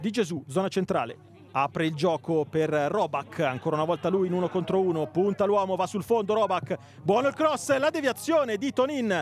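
A man with a high-pitched voice sounds animated and excited, his pitch swinging very widely. Noticeable background noise runs underneath. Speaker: football commentator. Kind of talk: live sports commentary, play-by-play of a youth match. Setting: stadium commentary over match footage. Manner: fast, animated, rising to excited shouts on goals; partisan, warmly supportive of the home team.

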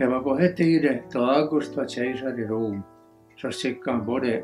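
With an Ostrobothnian accent, a man of medium pitch speaks at a moderate pace with ordinary pitch variation as music plays in the background. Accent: Ostrobothnian Swedish dialect. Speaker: reader. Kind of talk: Bible reading in dialect.

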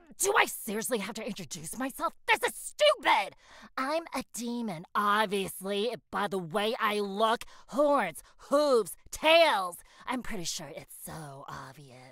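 A female-sounding voice in a put-on character voice talks at a fairly slow pace with a fairly high pitch. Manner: irritated, sarcastic.

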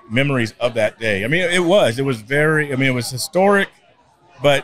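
Fairly quick speech in a dry sound with no echo. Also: man. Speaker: street preacher, conservative activist; podcast guest, street preacher. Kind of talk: interview answer. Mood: earnest, reflective. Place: studio. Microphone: studio mic.

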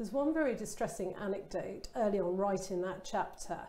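A woman speaks in a southern English accent at a moderate pace. Her tone is dark and mellow, and there is audible room echo. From Kent, England. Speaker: interviewer. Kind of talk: casual chat. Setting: online event. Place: studio. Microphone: lapel.

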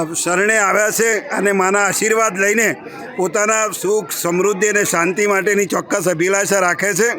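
With noticeable background noise, a man raises and projects his high-pitched voice, keeping his intonation fairly even. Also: very even loudness. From north Gujarat, near Visnagar. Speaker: doctor and pilgrim. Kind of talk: on-location statement. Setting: outdoors on hilltop.

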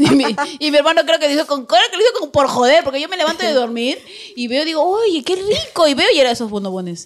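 A woman with a high voice talks very fast, her pitch swinging very widely, over noticeable background noise. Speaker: radio host. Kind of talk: casual chat.

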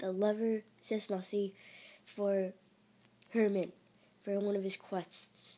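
The woman's intonation stays monotone and flat. She talks at a very slow pace. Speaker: works with students. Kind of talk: casual gameplay commentary.

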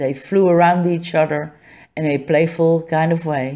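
Speaking in a Dutch accent, a woman with a fairly low pitch and a dark, mellow tone delivers her words in a monotone, flat intonation at a fairly slow pace, in a very clean recording with a silent background. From Netherlands. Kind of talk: reading a personal essay. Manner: a bit staccato.

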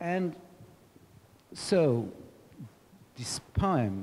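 Over light background noise, a man speaks with a dark, mellow tone. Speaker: audience member. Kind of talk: question from the floor. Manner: halting. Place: hall. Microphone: handheld.

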